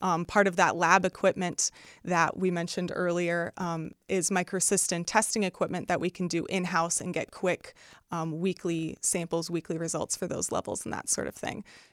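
A woman with a Midwestern American accent speaks at a moderate pace in a monotone, flat intonation. The sound is dry and close with no echo, on a very clean recording with a silent background. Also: fairly low pitch for a woman. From Northwest Indiana. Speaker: research specialist. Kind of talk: interview.

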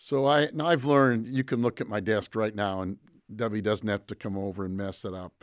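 An ordinary speaking voice from a man with an American accent, fairly low in pitch, at a moderate pace, in a very clean recording with a silent background. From Michigan, Pontiac. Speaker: college president. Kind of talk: interview. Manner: frequent fillers (um).

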